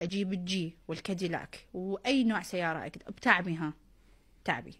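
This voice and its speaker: A woman with a Baghdad accent, medium pitch, ordinary pitch variation and a moderate pace. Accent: Baghdadi Iraqi Arabic. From Iraq, Baghdad. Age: 20s. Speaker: social media influencer. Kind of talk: street interview.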